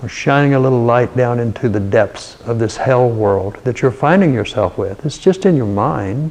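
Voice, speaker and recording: A man with lively intonation talks at a moderate pace while noticeable background noise runs behind him. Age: 70s. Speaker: meditation teacher. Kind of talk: spiritual talk. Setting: live stream.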